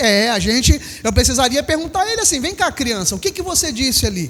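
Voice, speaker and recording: A man with an extremely high pitch and a Rio de Janeiro accent, animated in tone with lively intonation. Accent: Brazilian Portuguese, carioca (Rio). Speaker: pastor. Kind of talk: sermon. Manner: animated, with rhetorical questions to the congregation.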